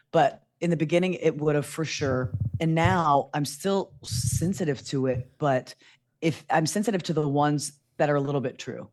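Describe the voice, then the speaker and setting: Speaking at a moderate pace, a woman uses a very deep, low pitch with ordinary pitch variation. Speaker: content creator and producer. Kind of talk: casual interview chat.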